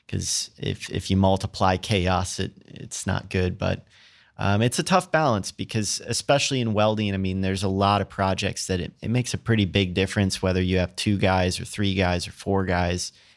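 A man with an American accent and a plain, everyday voice speaks at a fairly low pitch and a moderate pace, with hardly any pauses. His intonation is fairly even, and the recording is very clean with a silent background. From US Midwest, rural Minnesota. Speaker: welding company founder. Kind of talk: interview.

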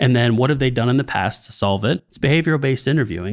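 Vocal fry colors a man's speech, which has lively intonation. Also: very clean recording, silent background. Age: 40s. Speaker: sales and marketing consultant. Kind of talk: podcast interview.

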